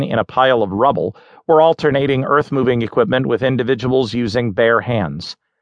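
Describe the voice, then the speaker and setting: A man's a normal speaking voice at a moderate pace. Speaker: audiobook narrator. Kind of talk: news article read aloud, audiobook narration. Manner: formal, measured; steady, neutral newsreader delivery.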